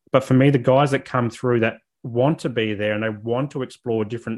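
Fairly even intonation and a moderate pace in an Australian accent, on a very clean recording with a silent background. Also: man. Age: 30s. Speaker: mental health advocate and social worker. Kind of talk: interview.

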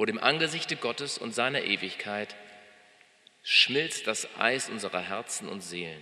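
With a warm, gentle tone and lively intonation, a man talks at a medium pitch and a fairly slow pace over noticeable background noise. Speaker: pastor. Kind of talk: sermon, delivered live to a congregation. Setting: church.

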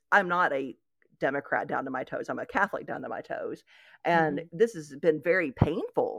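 With an East Tennessee accent, the speaker moves at a fairly quick pace with ordinary pitch variation on a very clean recording with a silent background. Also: woman. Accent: Southern American (East Tennessee). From Knoxville, Tennessee, US South. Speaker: blogger and writer. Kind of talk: conversational interview.

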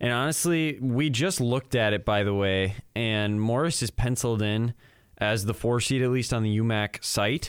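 A man speaks at a medium pitch and a moderate pace, with ordinary pitch variation. It is an ordinary speaking voice, and his loudness stays very even. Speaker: student podcast co-host and college baseball player. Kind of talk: casual sports chat. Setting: studio.

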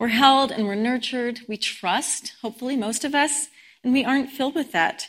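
A woman with an American accent and a fairly high pitch, an unremarkable speaking voice at a moderate pace. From Colorado, US. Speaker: guest speaker at a spiritual community service. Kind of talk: sermon.

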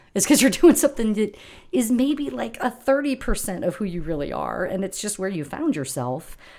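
The voice carries vocal fry and a dark, mellow tone, moving at a moderate pace with very wide pitch swings. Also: woman, medium pitch for a woman, very clean recording, silent background. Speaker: corporate employee, church volunteer. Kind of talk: casual interview chat. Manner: thoughtful, hesitant with fillers.

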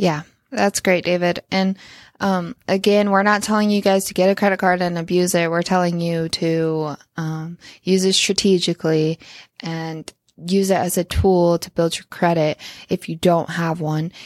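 A plain, everyday voice belongs to this woman, who speaks at a moderate pace with fairly low pitch and fairly even intonation in a very clean recording with a silent background. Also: dry, close sound with no echo. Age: 20s. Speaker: podcast host, real estate investor. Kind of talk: casual chat.

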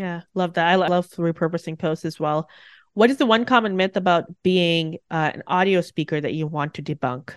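A woman's fairly low-pitched voice with ordinary pitch variation, an ordinary speaking voice. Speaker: podcast host. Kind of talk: interview, rapid-fire questions.

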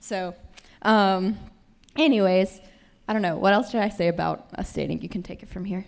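A woman with a Southern US accent, medium pitch, ordinary pitch variation, a moderate pace, big swings in loudness, and long, frequent pauses. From Tennessee. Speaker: panel guest, newlywed. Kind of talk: panel discussion. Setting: stage with audience.

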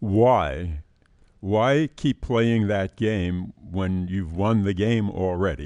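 A man's dark, mellow, fairly low voice at a very slow pace, with ordinary pitch variation and a quiet background. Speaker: financial advisor podcast host. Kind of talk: casual chat on personal finance. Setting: studio.

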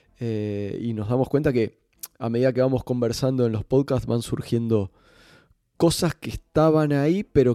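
In a dry, close sound with no echo, a man speaks at a moderate pace with a dark, mellow tone, a medium pitch, and ordinary pitch variation. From Uruguay, Montevideo. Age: 40s. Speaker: football coach and podcast host. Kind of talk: casual chat.

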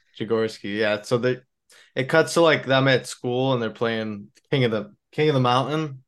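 A man with a normal speaking voice, medium pitch, ordinary pitch variation and a moderate pace against a quiet background. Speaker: podcast host. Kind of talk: casual chat.

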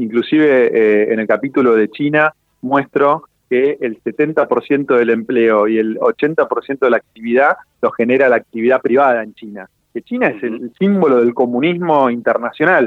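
Fairly slow delivery in a plain, everyday voice, its pitch moving in an ordinary way. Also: man, medium pitch for a man. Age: 40s. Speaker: entrepreneur and financial author. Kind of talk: radio interview. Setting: phone call.

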